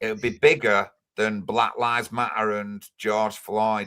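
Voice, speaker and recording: A man speaks at a fairly slow pace with a Manchester accent. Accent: Greater Manchester English. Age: 50s. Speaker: livestreamer, political activist. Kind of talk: live stream chat. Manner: animated.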